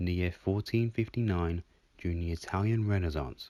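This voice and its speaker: In a very clean recording with a silent background, a man with an English accent speaks in a very deep, low pitch with a dark, mellow tone and ordinary pitch variation. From England. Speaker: video game commentator. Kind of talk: scripted narration.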